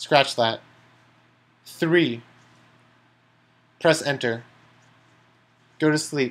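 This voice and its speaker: At a very slow pace, a man with a fairly high voice and ordinary pitch variation speaks with long, frequent pauses. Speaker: chess streamer. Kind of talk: live commentary while playing chess. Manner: slow, deliberate voice commands.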